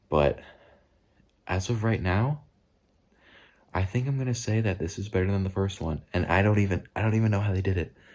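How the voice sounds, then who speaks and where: A man speaks quietly at a very deep, low pitch with ordinary pitch variation. His pace is fairly quick. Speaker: movie reviewer vlogger. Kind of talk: casual vlog review. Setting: at a relative's house at night. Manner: quiet, hushed; halting, repeats words.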